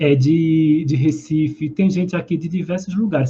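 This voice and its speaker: A high-pitched man with a dark, mellow tone and a Pernambuco accent. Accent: Pernambuco (northeastern Brazilian). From Brazil, southern Pernambuco. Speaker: holistic therapist. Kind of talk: live stream talk. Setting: live stream. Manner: conversational.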